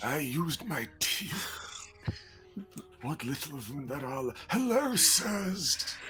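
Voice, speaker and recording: A put-on character voice at a middle pitch moves at a very slow pace. Music plays clearly in the background. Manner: decrepit, servile.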